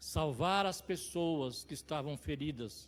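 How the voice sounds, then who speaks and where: On a very clean recording with a silent background, a man talks at a fairly slow pace with lively intonation. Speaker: lay preacher. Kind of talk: sermon. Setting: church service.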